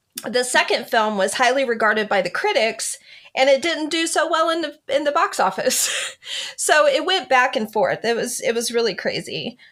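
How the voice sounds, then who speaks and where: Against noticeable background noise, a woman with a high voice speaks at a moderate pace, her pitch swinging very widely. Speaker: author. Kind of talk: casual chat. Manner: loud; animated.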